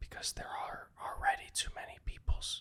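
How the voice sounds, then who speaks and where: A man is whispering. He speaks at a moderate pace. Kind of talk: podcast interview host. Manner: whispered.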